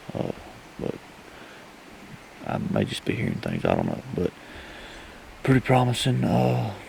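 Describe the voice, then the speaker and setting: Whispering in a Southern US accent, a man talks at a moderate pace with long, frequent pauses amid noticeable background noise. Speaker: hunting video host. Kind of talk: self-filmed outdoor vlog. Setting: outdoors.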